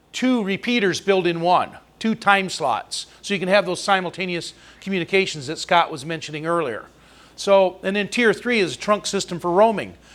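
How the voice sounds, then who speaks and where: A loud voice at a moderate pace with ordinary pitch variation. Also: man, high pitch for a man. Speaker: amateur radio presenter. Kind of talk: presentation.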